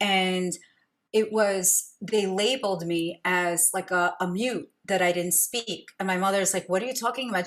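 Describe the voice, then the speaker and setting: With a New York accent, a woman speaks at a medium pitch and a fairly slow pace. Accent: New York American. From US, Brooklyn New York. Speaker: podcast host, intuitive coach. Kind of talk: interview conversation.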